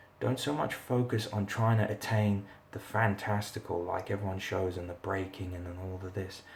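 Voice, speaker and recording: Quiet and fairly low-pitched, a man talks at a moderate pace with fairly even intonation. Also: hardly any pauses. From South Africa. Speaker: martial arts instructor. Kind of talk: live Q&A. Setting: live stream from rental accommodation. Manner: quiet, talking low; halting, many fillers.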